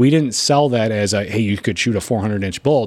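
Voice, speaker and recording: This speaker has an Upper Midwest accent and a fairly quick pace. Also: man. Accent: Upper Midwest American. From western Michigan. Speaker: hunting outfitter and TV host. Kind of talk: casual interview. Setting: in person at his home by Lake Michigan.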